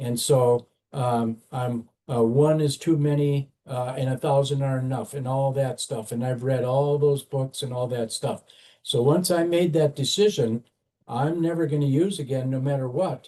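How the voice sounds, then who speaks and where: Somewhat breathy, with a dark, mellow tone, a man speaks at a moderate pace, his fairly high pitch showing ordinary variation. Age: 70s. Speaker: former addict in long-term recovery, corrections worker. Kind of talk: interview testimony. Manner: halting, many fillers.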